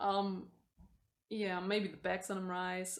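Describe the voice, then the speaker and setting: Here a woman speaks with a German accent. Her voice sits at a medium pitch. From Germany. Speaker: booktuber. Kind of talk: casual vlog. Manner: mumbling, hesitant.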